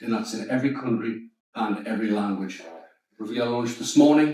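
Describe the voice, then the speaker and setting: A man with a Geordie accent, medium pitch, moderate pace and a dark, mellow tone, with audible room echo. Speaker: startup founder. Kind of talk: pitch and Q&A.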